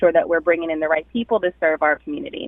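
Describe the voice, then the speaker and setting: With a slight Jamaican accent, a woman speaks with lively intonation. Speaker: hospital recruitment director. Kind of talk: radio interview.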